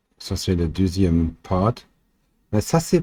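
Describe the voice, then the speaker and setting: A man with a German accent speaks in a dark, mellow tone at a very slow pace. His pitch swings very widely, and the recording is very clean with a silent background. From Germany. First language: German (speaking French). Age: 40s. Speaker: amateur theorist, chemical industry worker. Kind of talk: explainer video. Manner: halting, many fillers.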